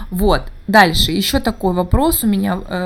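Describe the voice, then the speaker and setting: A woman speaks at a very slow pace. Her medium pitch shows ordinary pitch variation. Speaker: English teacher and podcaster. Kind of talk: solo podcast monologue. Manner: halting, many filler sounds.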